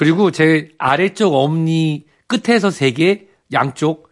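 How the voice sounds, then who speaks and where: The voice moves at a very slow pace with lively intonation over a quiet background. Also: man. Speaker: family medicine professor. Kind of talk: health advice talk. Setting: studio.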